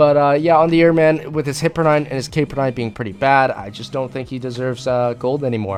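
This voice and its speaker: A man at medium pitch with ordinary pitch variation, very fast and with hardly any pauses, amid noticeable background noise. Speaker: gaming YouTuber and streamer. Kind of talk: casual video game commentary. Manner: fast, rushed; slurring words at times.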